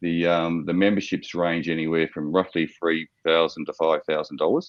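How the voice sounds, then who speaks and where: A man with an Australian accent and a very deep, low voice speaks at a moderate pace in a monotone, flat way. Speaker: startup founder pitching to investors. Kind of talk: investor Q&A. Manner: hesitant, many fillers.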